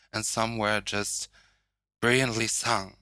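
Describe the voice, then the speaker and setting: In a German accent, a man speaks very slowly at medium pitch with fairly even intonation. His tone is bright and sharp, and the recording is very clean with a silent background. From northern Germany. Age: 20s. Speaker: drag artist. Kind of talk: casual chat.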